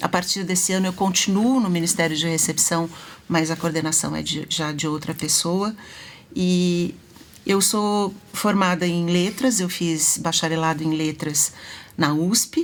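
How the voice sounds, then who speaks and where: This is a woman with a normal speaking voice. Her pitch is fairly low and her intonation fairly even. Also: fairly slow pace. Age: 60s. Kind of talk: live talk show interview.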